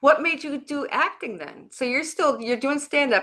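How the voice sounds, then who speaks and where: A woman speaks at a fairly quick pace in a high pitch. Her raised, projected voice has a bright, sharp tone. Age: 60s. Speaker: talk show host and comedian. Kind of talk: casual interview.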